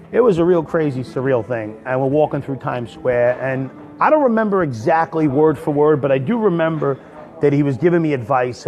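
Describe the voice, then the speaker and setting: A man's fairly high voice in an American accent, moderate in pace with ordinary pitch variation, amid noticeable background noise. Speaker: stand-up comedian. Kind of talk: storytelling in a casual livestream. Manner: rambling, with many fillers.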